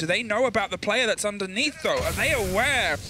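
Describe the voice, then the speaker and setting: Music plays in the background as a man with a high pitch and an energetic tone talks at a fairly quick pace. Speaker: esports commentator. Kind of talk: live esports commentary, play-by-play. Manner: fast, urgent, energetic play-by-play.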